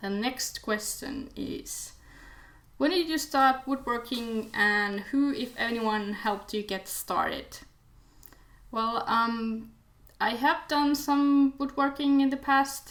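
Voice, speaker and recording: A woman with a Finnish accent speaks at a high pitch with ordinary pitch variation. Her pace is very slow. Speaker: DIY video maker, design student. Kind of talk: casual Q&A vlog. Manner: halting, many fillers.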